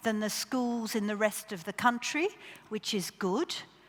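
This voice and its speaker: This woman has an Australian accent. The rise and fall of her pitch is ordinary. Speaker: education official. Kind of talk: conference keynote talk.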